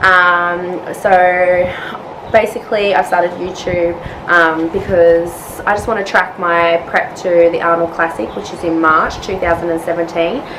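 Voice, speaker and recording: A woman speaks fairly slowly in an Australian accent, her pitch fairly low and her intonation fairly even. Noticeable background noise runs behind her. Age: 20s. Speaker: nurse and bikini fitness competitor. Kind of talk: casual vlog talk to camera. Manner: hesitant, many fillers.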